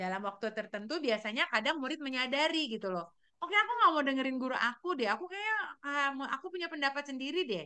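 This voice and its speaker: A woman talks at a very fast pace in a raised, projected voice. Her high pitch swings very widely. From Sulawesi, Indonesia. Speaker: teacher. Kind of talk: presentation to colleagues. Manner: loud; halting with fillers.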